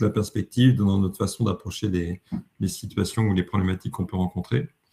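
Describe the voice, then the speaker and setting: Ordinary pitch variation marks this man's speech. His tone is dark and mellow, and somewhat breathy. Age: 60s. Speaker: leadership coach. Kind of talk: webinar presentation. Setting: online webinar. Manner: hesitant, self-correcting.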